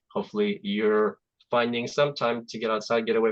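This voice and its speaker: A man with a Russian accent talks at a fairly quick pace in a dry, close sound with no echo. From Azerbaijan. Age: 40s. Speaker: software development manager. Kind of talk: presentation. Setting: video call. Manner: halting.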